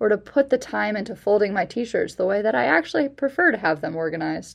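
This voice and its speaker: A woman's lively, vocal-fry-tinged delivery with an American accent. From US Midwest, Chicago suburbs. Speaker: campus minister. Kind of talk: personal reflection.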